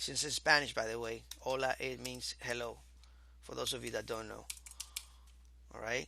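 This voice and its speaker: Long pauses come often, though the talking itself holds a moderate pace. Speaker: programming instructor. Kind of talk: tutorial.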